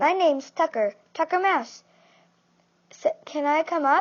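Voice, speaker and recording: A woman's put-on character voice, squeaky and extremely high in pitch, at a moderate pace. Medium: read story. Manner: excitable, eager.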